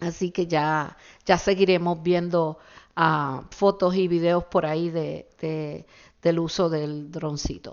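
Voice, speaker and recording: This woman talks very slowly in a fairly low pitch. Her intonation is flat and monotone. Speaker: podcast host. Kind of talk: solo podcast monologue. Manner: hesitant, many fillers.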